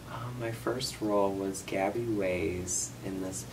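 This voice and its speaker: A man with an American accent and a very deep, low pitch, ordinary pitch variation, audible room echo and noticeable background noise. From US Midwest. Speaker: student actor. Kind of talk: interview.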